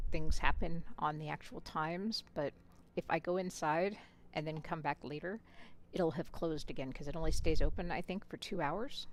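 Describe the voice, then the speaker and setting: A woman's fairly low voice with fairly even intonation, at a moderate pace. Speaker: gaming streamer. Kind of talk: casual chat while gaming livestream.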